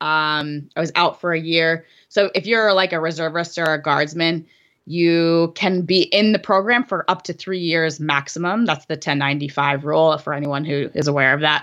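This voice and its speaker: A woman with an American accent speaks in a plain, everyday voice, fairly low in pitch with ordinary pitch variation, at a moderate pace over a quiet background. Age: 30s. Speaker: skeleton athlete and army officer. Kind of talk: casual interview.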